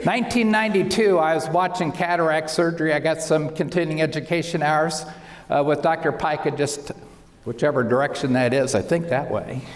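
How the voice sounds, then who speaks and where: The pace is fairly quick, with ordinary pitch variation and very even loudness. Room echo is audible. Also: man, fairly high pitch for a man. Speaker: optometrist. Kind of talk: lecture.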